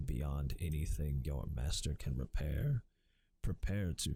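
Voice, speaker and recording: In a very deep, low pitch, a man speaks somewhat breathily at a fairly slow pace, his tone dark and mellow with ordinary pitch variation. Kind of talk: ASMR audiobook reading, softly spoken.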